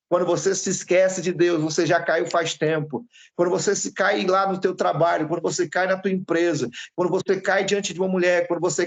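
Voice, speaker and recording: Monotone and flat in intonation, a man's high voice moves at a fairly quick pace. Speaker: pastor. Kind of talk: sermon. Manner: fast; intense.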